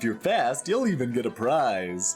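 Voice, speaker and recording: Over clear background music, a man uses a put-on character voice in a sing-song manner at a moderate pace. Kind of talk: playful. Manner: silly, sing-song.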